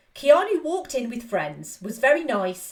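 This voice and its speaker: Speaking at a moderate pace, a woman with an English accent moves through very wide pitch swings. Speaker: film podcast host. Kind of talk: film review podcast narration. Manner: casual, enthusiastic.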